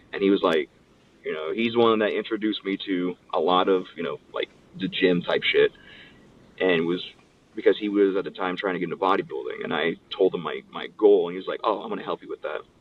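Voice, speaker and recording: A man with an American accent at a fairly quick pace, amid noticeable background noise. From Southern California. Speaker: pro wrestler. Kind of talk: interview. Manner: casual, animated storytelling.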